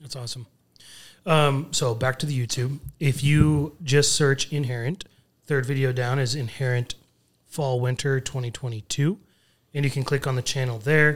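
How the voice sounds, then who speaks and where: A somewhat breathy man at a medium pitch, with fairly even intonation and a fairly slow pace. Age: 30s. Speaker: podcast co-host, former football player. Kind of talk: casual chat.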